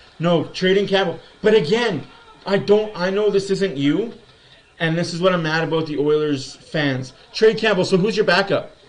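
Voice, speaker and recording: A man speaks in a high pitch with ordinary pitch variation. Noticeable background noise and audible room echo come through. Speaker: sports livestream host. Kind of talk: live game commentary and fan chat. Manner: animated; fast.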